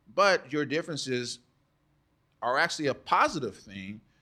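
With an American accent, a man speaks in a bright, sharp tone with lively intonation. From Texas, San Antonio and Dallas. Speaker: tech founder and nonprofit head. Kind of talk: interview conversation. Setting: studio.

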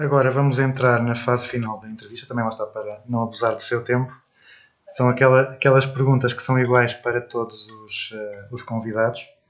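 A man's medium-pitched voice in monotone, flat intonation, at a fairly quick pace with big swings in loudness. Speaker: radio podcast host. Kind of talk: interview.

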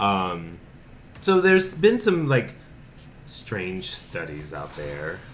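A man with an American accent speaks at a very slow pace, leaving long, frequent pauses, and the room echo is audible. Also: big swings in loudness. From North Carolina, Winston-Salem. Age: 30s. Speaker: podcast co-host, TV producer. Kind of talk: casual chat.

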